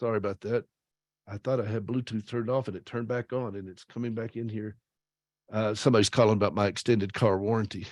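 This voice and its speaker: A man with a Southern US accent speaks at a very fast pace and a fairly low pitch. The sound is dry and close with no echo, over a quiet background. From US South, South Carolina. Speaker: author and radio host. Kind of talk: speech. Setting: video call. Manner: animated.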